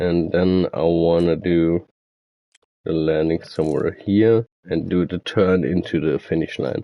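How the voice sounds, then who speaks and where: A man with a German accent speaks at a fairly slow pace. His very deep, low voice keeps a fairly even intonation. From Germany. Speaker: gaming streamer. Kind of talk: tutorial. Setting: live stream. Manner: mumbling; halting.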